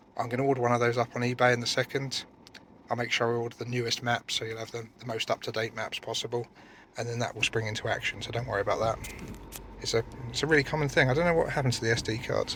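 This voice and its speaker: A man talks at a very fast pace with a British accent. His medium-pitched voice keeps fairly even intonation. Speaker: used car dealer. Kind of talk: car walkaround video. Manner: hesitant, stumbling over words.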